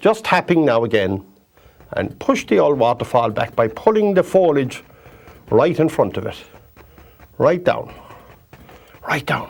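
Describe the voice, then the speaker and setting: Speaking in a Kerry Irish accent at a fairly high pitch, a man moves at a fairly slow pace with long, frequent pauses and very wide pitch swings. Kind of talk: painting tutorial. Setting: TV studio. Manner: chatty, repetitive.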